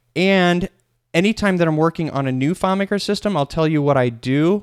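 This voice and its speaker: A man with a normal speaking voice and fairly high pitch talks fairly quickly, with ordinary pitch variation. The sound is dry and close with no echo, on a very clean recording with a silent background. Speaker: software trainer. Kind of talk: tutorial.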